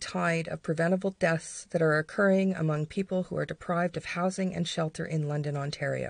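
A woman with a plain, everyday voice, fairly low in pitch, talks at a fairly quick pace with fairly even intonation over a quiet background. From Canada. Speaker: podcast co-host. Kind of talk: reading aloud an emotional protest speech, then personal reflection.

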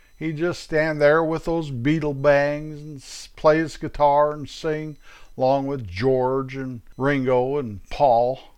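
Fairly high in pitch, a man talks at a very slow pace with fairly even intonation. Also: big swings in loudness. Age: 70s. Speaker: podcast host, storyteller. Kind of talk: personal storytelling monologue. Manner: casual, folksy.

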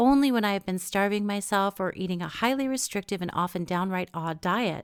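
A woman with an unremarkable speaking voice at medium pitch, in a very clean recording with a silent background. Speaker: podcast host. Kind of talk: interview conversation.

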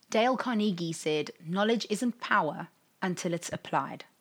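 With an English accent, a woman talks at a fairly slow pace and ordinary pitch variation. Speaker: podcast host and life coach. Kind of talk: solo podcast monologue.

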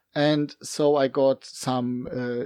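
A man speaks in a German accent against a quiet background. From Germany. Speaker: game master and hobbyist. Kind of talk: casual chat. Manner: halting, searching for words.

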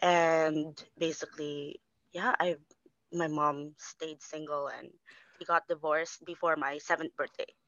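At a fairly slow pace, a woman speaks with a very deep, low pitch. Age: 30s. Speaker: single mother, bookkeeper. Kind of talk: casual interview.

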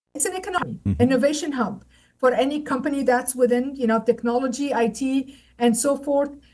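In a Lebanese accent, a woman speaks at a fairly quick pace and a high pitch with ordinary pitch variation. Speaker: trade center director. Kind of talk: interview.

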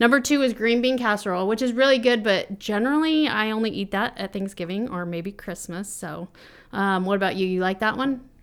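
On a very clean recording with a silent background, a woman with an ordinary speaking voice talks at a fairly quick pace, fairly high in pitch, with ordinary pitch variation. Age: 30s. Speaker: podcast co-host, wife and mother. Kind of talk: casual chat.

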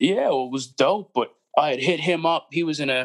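A man talks at a moderate speed. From Nova Scotia, Canada (near Halifax). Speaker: underground hip-hop artist. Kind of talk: casual interview chat.

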